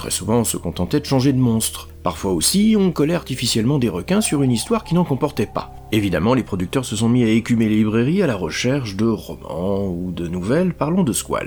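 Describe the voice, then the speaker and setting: A man of medium pitch speaks at a fairly quick pace with hardly any pauses and very wide pitch swings. Noticeable background noise is present. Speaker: podcast host, film critic. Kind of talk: scripted narration. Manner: ironic.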